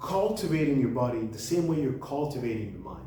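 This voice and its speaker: Over noticeable background noise, a man with a fairly high pitch speaks with lively intonation. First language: French. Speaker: book reviewer, channel host. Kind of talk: casual monologue book review. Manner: halting, with repetitions and restarts.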